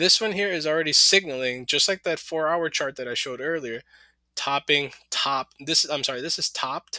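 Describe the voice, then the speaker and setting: A man with a fairly high voice sounds bright, sharp and animated in a very clean recording with a silent background and dry, close sound with no echo. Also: ordinary pitch variation. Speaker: crypto market commentator. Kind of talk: technical analysis screen walkthrough. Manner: fast; casual, animated.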